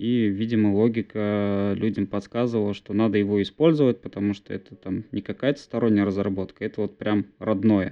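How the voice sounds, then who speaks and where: A man speaks in a normal speaking voice, fairly low in pitch and fairly even in intonation. He keeps a moderate pace with hardly any pauses. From Bashkortostan, Russia (village near Ufa). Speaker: DevOps engineer, co-host. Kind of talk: casual tech discussion. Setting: video call from parents' home. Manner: frequent filler words.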